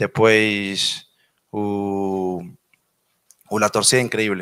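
A man's fairly low, monotone voice with flat intonation and a Spanish accent, dry with no echo, against a quiet background. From Venezuela. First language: Spanish (speaking Portuguese). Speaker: professional footballer. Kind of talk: press conference answers. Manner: halting. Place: meeting room. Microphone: podium.

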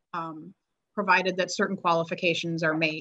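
Speaking at a very fast pace, a woman uses a fairly low pitch and a monotone, flat intonation. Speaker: meeting staff or attorney. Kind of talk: formal procedural statement. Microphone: video call.

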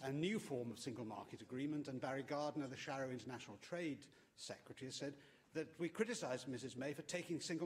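A somewhat breathy man speaks very fast with ordinary pitch variation over light background noise. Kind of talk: parliamentary question. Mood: combative, pointed. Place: hall. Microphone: podium.

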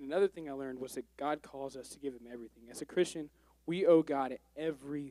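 A man's fairly high, dark, mellow voice at a very fast pace, with fairly even intonation, big swings in loudness and a dry sound with no echo. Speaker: church member giving testimony. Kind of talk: testimony. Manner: halting. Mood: earnest, somewhat nervous. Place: church. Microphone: handheld.

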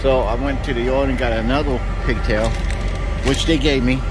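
A man speaks in a dry recording with no echo. Clear music plays in the background. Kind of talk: casual vlog chat. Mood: mildly annoyed. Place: street. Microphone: phone near.

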